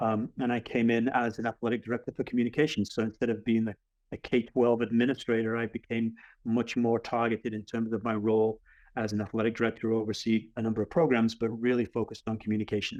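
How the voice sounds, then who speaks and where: In a slight English accent, a man talks at a very fast pace with medium pitch. His intonation is flat and monotone against a quiet background. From England. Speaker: athletic director. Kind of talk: webinar presentation.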